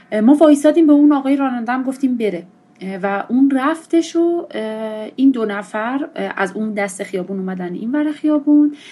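A woman speaks at a high pitch with a dark, mellow tone. Her intonation is lively and her pace moderate. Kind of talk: testimony.

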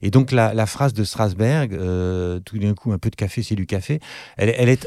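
On a very clean recording with a silent background and a dry, close sound with no echo, a man with a fairly low pitch and a dark, mellow tone talks at a fairly quick pace with lively intonation. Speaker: actor and author, former acting teacher. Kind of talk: casual interview chat.

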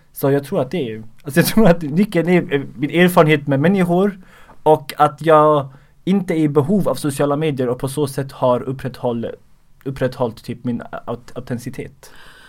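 This man has an ordinary speaking voice, fairly high in pitch, with ordinary pitch variation. He speaks at a moderate pace. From Sweden, Skåne. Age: 20s. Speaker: comedian and social media creator. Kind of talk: casual interview.

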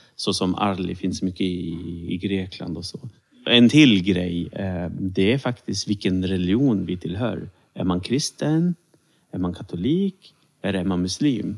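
With normal pitch movement, the words come fairly slowly. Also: man, very deep, low pitch for a man. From Sweden, Serbian-born Roma. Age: 30s. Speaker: civil servant and minority rights consultant. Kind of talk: interview.

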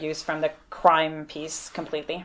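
Her voice is fairly low in pitch, a woman speaking in a French Canadian accent. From Quebec, Montreal. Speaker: nursing professor. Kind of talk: interview.

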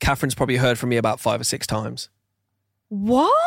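The recording of a man with a medium pitch sounds dry and close, without any echo. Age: 30s. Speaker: podcast co-host. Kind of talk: casual chat. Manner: animated.

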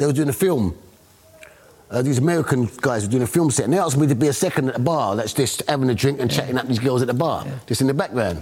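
With a London accent, a man talks at a medium pitch with lively intonation amid noticeable background noise. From London, Hackney. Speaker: interviewee, local resident. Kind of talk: casual chat.

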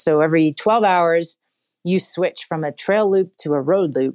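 In a very clean recording with a silent background, someone with an American accent speaks at a fairly slow pace. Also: woman, dry, close sound with no echo. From Pennsylvania, near Philadelphia. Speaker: ultrarunner. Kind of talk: interview. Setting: office.

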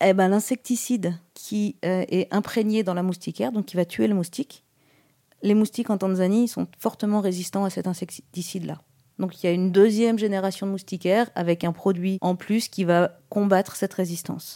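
Medium-pitched woman's voice with a dark, mellow tone, moderate pace and ordinary pitch variation, in a dry, close sound with no echo. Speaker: humanitarian water and sanitation specialist. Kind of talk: interview. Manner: casual with fillers.

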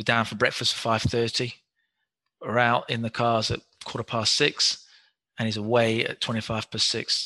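A man's medium-pitched voice in a British accent, bright and sharp in tone, monotone and flat, with long, frequent pauses against a quiet background. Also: moderate pace. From England. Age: 50s. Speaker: physiotherapist. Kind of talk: interview.

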